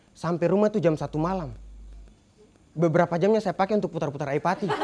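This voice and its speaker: Light background noise sits behind a man with a high, dark, mellow voice. He talks very fast with fairly even intonation. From Buton, Southeast Sulawesi; Southeast Sulawesi, Indonesia. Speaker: stand-up comedian. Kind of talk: stand-up comedy set. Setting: stage with live studio audience. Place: cafe. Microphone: handheld.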